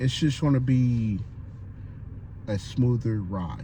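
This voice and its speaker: Noticeable background noise sits under the speech, along with audible room echo. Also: man. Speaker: sports fan vlogger; military veteran. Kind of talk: casual monologue vlog. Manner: halting, stuttering.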